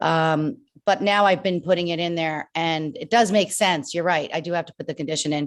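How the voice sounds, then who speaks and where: A woman with a slight New Jersey accent, fairly low pitch, ordinary pitch variation and a moderate pace, over a quiet background. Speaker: online reseller. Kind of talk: casual chat.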